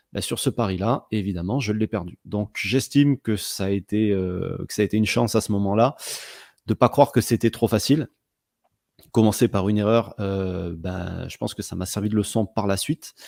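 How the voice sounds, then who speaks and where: On a very clean recording with a silent background, a man speaks at a moderate pace with a fairly low pitch and ordinary variation. The sound is dry and close, with no echo. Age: 30s. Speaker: sports betting blogger. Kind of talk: interview. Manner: hesitant, many fillers and repetitions.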